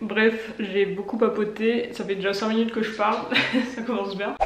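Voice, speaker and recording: Speaking at a moderate pace with a fairly high pitch, a woman is heard with audible room echo around her. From northern France. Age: 20s. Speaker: vlogger and entrepreneur. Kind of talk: casual vlog talk to camera. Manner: hesitant, many filler sounds.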